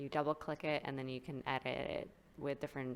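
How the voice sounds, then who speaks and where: The woman speaks with a very deep, low pitch. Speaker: gaming youtuber and streamer. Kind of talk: tutorial. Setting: at home desktop computer. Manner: casual with many fillers.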